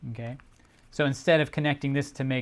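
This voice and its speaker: A man speaks in a plain, everyday voice at medium pitch with fairly even intonation. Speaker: origami instructor. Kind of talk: livestream tutorial. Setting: livestream.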